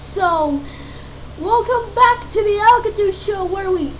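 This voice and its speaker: A cartoonish character voice squeaks at an extremely high pitch and a fairly slow pace. Background noise is clearly heard. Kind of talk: show host intro.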